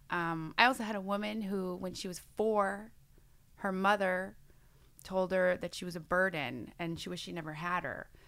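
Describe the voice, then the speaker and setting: A woman with an American accent speaks in a plain, everyday voice at medium pitch and a moderate pace, with fairly even intonation and big swings in loudness, on a very clean recording with a silent background. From New York State. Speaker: hypnotherapist. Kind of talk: casual chat.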